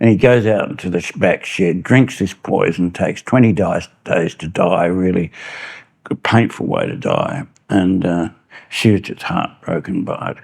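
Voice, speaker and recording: Speaking with an Australian accent, a man uses a fairly low pitch, ordinary pitch variation and a moderate pace. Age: 70s. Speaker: journalist. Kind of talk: interview. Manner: halting.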